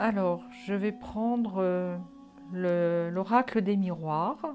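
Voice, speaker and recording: A woman's medium-pitched voice at a very slow pace, over music in the background. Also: ordinary pitch variation. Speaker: psychic card reader. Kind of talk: solo tarot card reading video. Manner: hesitant, many fillers.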